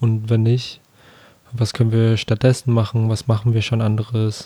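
The voice belongs to a man, dark and mellow in tone. It sits at a medium pitch. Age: 20s. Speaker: podcast co-host. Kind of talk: casual chat.

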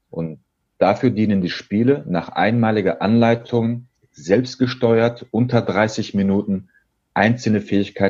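A man with an unremarkable speaking voice talks at a moderate pace and a fairly low pitch. The background is quiet. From Germany, Dortmund (Ruhr area). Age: 30s. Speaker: sales trainer and game designer. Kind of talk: interview.

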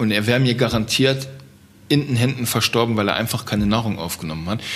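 Here is a man with a normal speaking voice at medium pitch. He speaks at a fairly quick pace. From Germany, Trier region. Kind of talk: interview.

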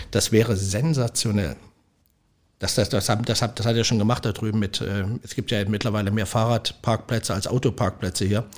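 A fairly low-pitched man talks fairly quickly, captured in a very clean recording against a silent background. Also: fairly even intonation. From Leipzig, East Germany. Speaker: restaurant owner. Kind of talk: casual interview. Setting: restaurant. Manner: halting, many repetitions.

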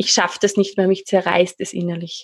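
In an Austrian accent, a woman speaks with monotone, flat intonation over a quiet background. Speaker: life coach and trainer. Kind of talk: interview.

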